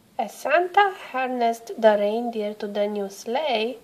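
Lively intonation runs through the speech. The voice is an unforced reading voice.

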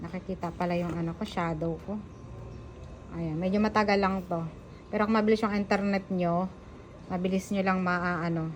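At a moderate pace, a woman speaks at a medium pitch in a somewhat breathy, monotone, flat voice, with long, frequent pauses. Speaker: vlogger. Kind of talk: tutorial. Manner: halting.

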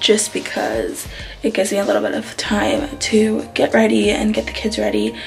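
A woman's voice with faint music in the background. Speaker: vlogger. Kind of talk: casual vlog chat. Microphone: phone near.

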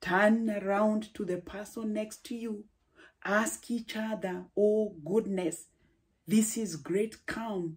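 At a very slow pace, a woman speaks with a medium pitch, a dark, mellow tone and a somewhat breathy quality over a quiet background. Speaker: preacher. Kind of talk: sermon. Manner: formal. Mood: warm, encouraging. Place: home room. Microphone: phone near.

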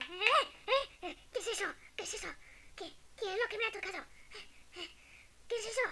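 Over light background noise, a put-on character voice at an extremely high pitch moves at a fairly slow pace with long, frequent pauses. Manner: panicky, shouting.

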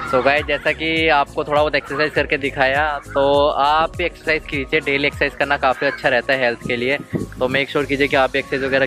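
A man speaks at a fairly quick pace in a monotone, flat intonation with very even loudness. The sound is dry with no echo, and clear music plays in the background. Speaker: travel vlogger. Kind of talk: casual vlog chat. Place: open country. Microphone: phone near.

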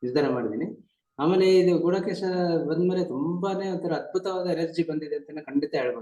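A man talks with ordinary pitch variation. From Karnataka, Chikkamagaluru. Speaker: district judge sharing meditation experience. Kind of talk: testimony. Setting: video call.

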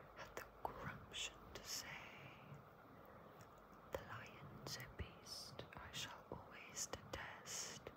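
Speech crawls along at a very slow pace, broken by long, frequent pauses, over loud background noise. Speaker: ASMR reader. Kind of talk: ASMR children's book reading to help sleep.

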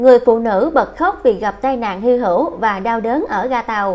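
With an ordinary speaking voice, a woman talks at a fairly slow pace, her fairly high pitch carried by lively intonation. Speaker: news presenter. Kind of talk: news reading.

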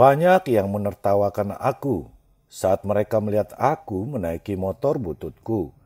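This voice has a dark, mellow tone and lively intonation, moving at a moderate pace in a dry, close recording with no echo. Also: man, fairly low pitch for a man. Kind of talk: ghost story narration, first-person creepypasta told as a grieving man.

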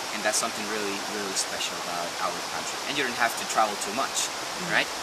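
Loud background noise sits under speech at a very fast pace. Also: man. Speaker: nature tour guide. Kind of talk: guided tour explanation. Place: forest. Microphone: camera far.

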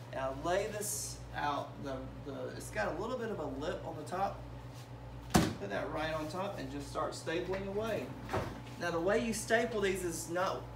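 Heavy background noise behind a man talking at a middling speed. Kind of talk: tutorial. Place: workshop. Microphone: phone near.

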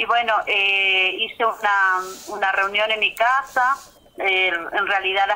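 Fairly slow speech with fairly even intonation against noticeable background noise. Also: woman. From Argentina, Chaco (Puerto Vilela). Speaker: community organizer of women canoe fishers. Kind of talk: interview. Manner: halting.

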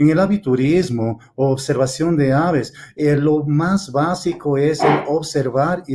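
A man's dark, mellow voice sits at a fairly high pitch, with ordinary pitch variation. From Ecuador. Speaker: field biologist. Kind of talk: conference presentation. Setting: video call. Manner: halting, many fillers.

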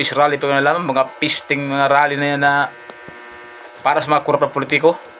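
Words tumble out very fast. Behind them, background noise is clearly audible. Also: man. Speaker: vlogger. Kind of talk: angry rant. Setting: live stream. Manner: animated; heated.

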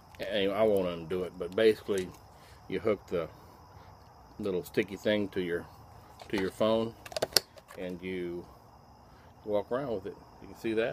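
Loud background noise runs through the clip. The speech breaks off in long, frequent pauses. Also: man, moderate pace. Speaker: unboxing vlogger. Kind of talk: casual vlog chat. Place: garden. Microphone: phone near.

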